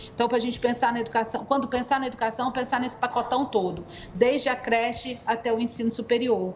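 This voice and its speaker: A woman speaks fairly quickly in a fairly high voice. Her intonation is monotone and flat, and there is noticeable background noise. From Goiânia, Brazil. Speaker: education researcher and NGO advocate. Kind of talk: podcast interview, explanatory.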